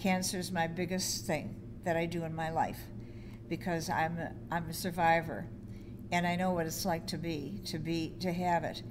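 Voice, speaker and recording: Delivered at a moderate pace with vocal fry, the voice carries an audible room echo. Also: woman, fairly low pitch for a woman, ordinary pitch variation. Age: 80s+. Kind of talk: interview testimony. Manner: halting, repeats words.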